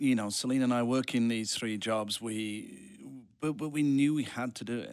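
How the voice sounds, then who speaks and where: A man with a British accent, medium pitch, ordinary pitch variation and a moderate pace, on a very clean recording with a silent background. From United Kingdom. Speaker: real estate investor. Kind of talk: casual interview chat.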